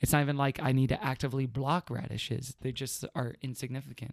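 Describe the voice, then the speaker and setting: An ordinary speaking voice from a man with an American accent, medium pitch, a fairly quick pace with hardly any pauses, and a dry, close sound with no echo. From Houston, Texas. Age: 30s. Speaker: podcast guest. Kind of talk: casual chat.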